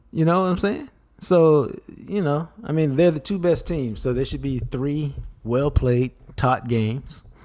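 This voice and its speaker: With ordinary pitch variation and a fairly high pitch, a man talks in a plain, everyday voice. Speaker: co-host, sports commentator. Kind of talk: casual chat.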